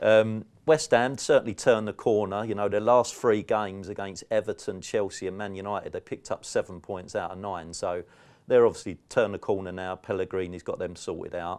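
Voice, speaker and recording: A man speaks in a South London accent at a fairly quick pace. His loudness swings widely over a quiet background. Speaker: football betting tipster. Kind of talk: podcast betting preview.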